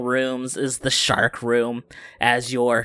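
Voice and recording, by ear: Natural-voiced reading aloud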